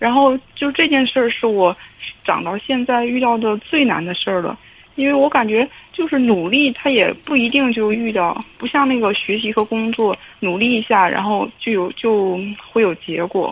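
A woman's fairly high voice at a moderate pace with ordinary pitch variation, amid noticeable background noise. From Hebei, China (family from Shandong). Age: 30s. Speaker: caller. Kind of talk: call-in advice conversation. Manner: halting.

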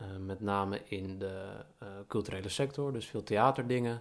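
The man's voice is fairly low in pitch and keeps a fairly even intonation. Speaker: podcast co-host. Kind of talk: casual chat.

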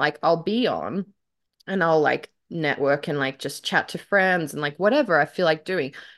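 Speaking with an Australian accent, a woman has a fairly low voice. She talks at a moderate pace with lively intonation. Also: quiet background. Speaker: aspiring author and podcast host. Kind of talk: casual banter. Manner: animated.

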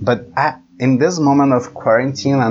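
A man with a Brazilian accent talks with lively intonation over noticeable background noise. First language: Portuguese. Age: 20s. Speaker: engineering student. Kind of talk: casual chat.

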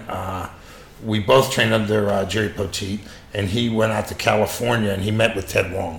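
There is audible room echo and noticeable background noise as a man with a fairly low pitch talks at a moderate pace. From Pittsburgh, US. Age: 60s. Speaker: martial arts instructor. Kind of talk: casual interview chat. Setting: in person.

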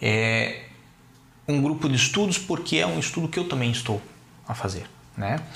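A man with a medium pitch and vocal fry swings very widely in pitch while keeping very even loudness, leaving long, frequent pauses in a room with audible echo. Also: moderate pace. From Brazil, Curitiba. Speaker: lawyer. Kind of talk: interview.

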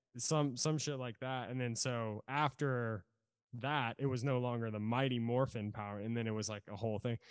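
A man with an American accent speaks in a plain, everyday voice at a medium pitch and moderate pace, with fairly even intonation. The recording is very clean with a silent background, dry and close with no echo. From Virginia, Norfolk. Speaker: drummer. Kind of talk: casual chat.

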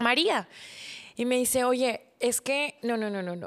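A woman's voice at a fairly slow pace. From Mexico, Monterrey area. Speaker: podcast host. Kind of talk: personal storytelling monologue.

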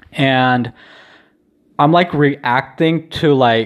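This is a man with an American accent. He talks at a fairly high pitch. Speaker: vlogger and podcaster. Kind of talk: solo video diary, casual chat. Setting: home, recording alone. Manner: rambling, casual, lots of filler words.

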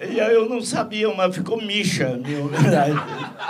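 A man at a fairly slow pace, very wide pitch swings, with audible room echo and noticeable background noise. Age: old. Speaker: TV presenter. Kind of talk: casual chat.

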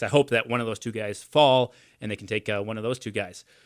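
A man at a very fast pace with a medium pitch. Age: 20s. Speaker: sports radio host. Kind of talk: casual chat.

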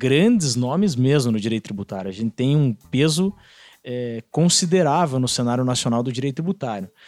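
Music plays in the background as a man of medium pitch talks at a moderate pace with lively intonation, the sound dry and close with no echo. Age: 30s. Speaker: law professor. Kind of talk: casual podcast discussion, explanatory.

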